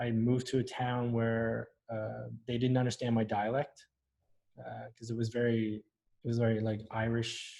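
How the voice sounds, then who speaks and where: A man's somewhat breathy voice, dark and mellow in tone, at a moderate pace with monotone, flat intonation. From Newfoundland, Canada. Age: 50s. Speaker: architect. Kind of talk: interview talk. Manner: halting.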